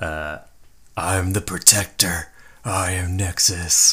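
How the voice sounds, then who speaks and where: Putting on a character voice with a dramatic tone, a man speaks very slowly at a very deep, low pitch with a monotone, flat intonation. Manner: boastful, charging, dramatic.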